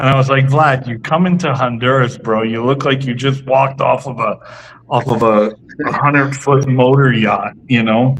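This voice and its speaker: Over noticeable background noise, a man with a medium pitch speaks at a moderate pace with fairly even intonation. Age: 50s. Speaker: cigar company representative. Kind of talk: casual interview chat. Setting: live stream show.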